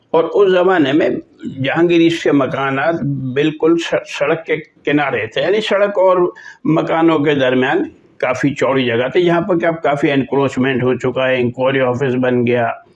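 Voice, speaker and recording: A man speaks at a fairly high pitch with ordinary pitch variation and very even loudness, over noticeable background noise. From Pakistan, Karachi. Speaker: vlogger and journalist. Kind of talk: storytelling vlog.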